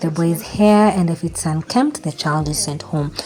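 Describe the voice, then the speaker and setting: Against noticeable background noise, a woman speaks fairly slowly at a fairly low pitch with ordinary pitch variation. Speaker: mom vlogger. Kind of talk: vlog narration.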